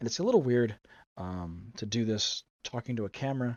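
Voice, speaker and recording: A man's voice with ordinary pitch variation. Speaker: game master streamer. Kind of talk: solo livestream planning chat. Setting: livestream talking to camera. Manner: fast.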